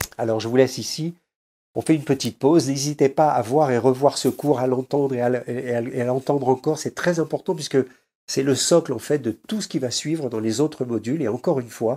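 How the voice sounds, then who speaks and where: Recorded very cleanly against a silent background, a man with a medium pitch and a dark, mellow tone talks at a fairly quick pace with ordinary pitch variation. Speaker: spiritual teacher. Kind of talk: lecture. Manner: halting.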